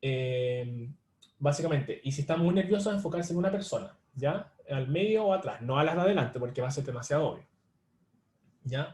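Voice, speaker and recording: The man's voice is fairly high and somewhat breathy. He speaks at a fairly quick pace with ordinary pitch variation. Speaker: online tutor. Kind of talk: live online lecture. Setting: livestream. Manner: fast; filler-heavy, with hesitations.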